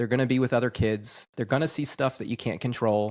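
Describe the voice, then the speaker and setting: Dry and close with no echo, a man's unremarkable speaking voice sits at medium pitch. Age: 30s. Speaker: podcast host. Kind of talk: casual interview chat.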